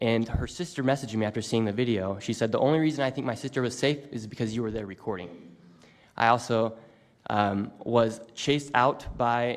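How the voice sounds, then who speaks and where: Here a man has a plain, everyday voice at medium pitch. He speaks at a moderate pace with fairly even intonation. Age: 20s. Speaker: independent YouTube journalist. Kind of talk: prepared statement at press event.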